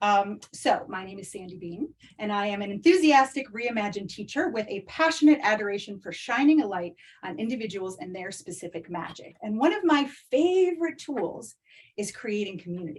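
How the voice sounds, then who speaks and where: A woman with a fairly high, somewhat breathy voice speaks in an animated tone, with very wide pitch swings and big swings in loudness. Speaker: online community coach, former teacher. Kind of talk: live masterclass webinar. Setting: video call. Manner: fast.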